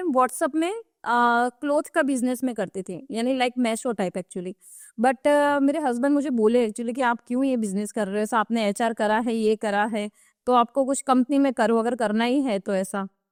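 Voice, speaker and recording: A high-pitched woman at a moderate pace with ordinary pitch variation, a dry, close sound with no echo, and a very clean recording with a silent background. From Gujarat, Kathiawar. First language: Gujarati (speaking Hindi). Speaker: digital marketing expert. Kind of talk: podcast interview.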